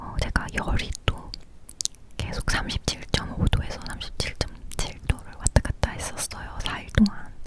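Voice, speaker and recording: A woman whispering at a fairly slow pace, big swings in loudness and noticeable background noise. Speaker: ASMR creator. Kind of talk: casual personal story about her illness. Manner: whispering, soft-spoken.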